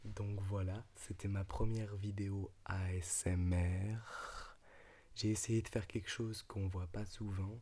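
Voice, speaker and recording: Soft-spoken, a man talks at a very slow pace with a fairly low pitch and a dark, mellow, soothing tone. His intonation is monotone and flat. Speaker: ASMR creator. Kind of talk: ASMR reading aloud; casual talk to camera. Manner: soft, soothing, quiet; louder than a whisper.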